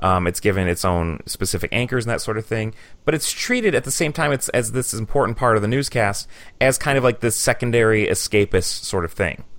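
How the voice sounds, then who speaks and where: At a fairly quick pace, a man with an unremarkable speaking voice and an American accent talks at a medium pitch with ordinary pitch variation. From Michigan. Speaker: podcast host and university teacher. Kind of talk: interview. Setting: studio. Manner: casual, with many fillers.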